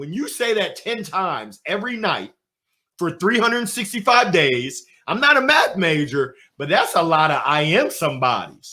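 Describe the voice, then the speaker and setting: A man speaks loudly and fairly slowly in an animated, bright, sharp tone with vocal fry. His pitch swings very widely. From US, moved around (Alabama, Nebraska, Illinois, Pennsylvania). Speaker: motivational speaker. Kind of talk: interview.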